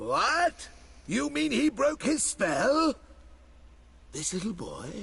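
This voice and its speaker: With a put-on character voice, a man speaks at a high pitch and a very slow pace. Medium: video game. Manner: pompous, drawling.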